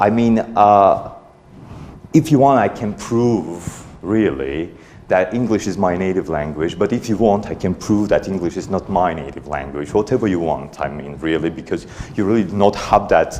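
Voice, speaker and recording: A man with an Armenian accent speaks at a moderate pace, his intonation lively. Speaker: conference speaker, parent raising bilingual kids. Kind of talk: conference talk. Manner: halting, many fillers.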